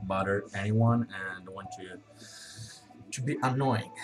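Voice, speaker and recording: Over noticeable background noise, a man with a non-native accent speaks in fairly even intonation. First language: not English. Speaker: vlogger reviewing a work program. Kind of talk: unscripted video review. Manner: halting, many fillers.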